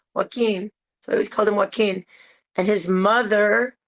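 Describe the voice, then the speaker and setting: Speaking at a fairly quick pace with an American accent, a woman has a plain, everyday voice at a medium pitch, recorded with a dry, close sound and no echo. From San Francisco, US West Coast. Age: 60s. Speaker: interviewee. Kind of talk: interview.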